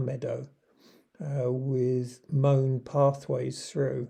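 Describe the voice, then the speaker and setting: With a southern English accent, a man speaks at a very slow pace in a medium pitch, his tone dark, mellow and somewhat breathy, his intonation fairly even, over a quiet background. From southern England, Surrey. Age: 70s. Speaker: retired vlogger. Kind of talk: video narration.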